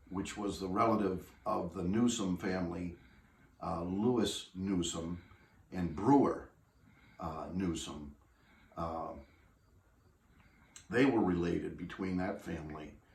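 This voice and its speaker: A man speaks with a very deep, low voice, his pitch moving by ordinary amounts. His delivery is somewhat breathy, with long, frequent pauses and audible room echo. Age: 60s. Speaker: family heirloom owner. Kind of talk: interview. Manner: halting.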